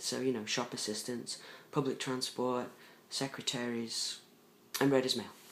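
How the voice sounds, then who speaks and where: Speaking with an English accent, a man talks at a medium pitch in a monotone, flat way, with long, frequent pauses. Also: moderate pace. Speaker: vlogger. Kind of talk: personal video diary. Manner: hesitant, many fillers.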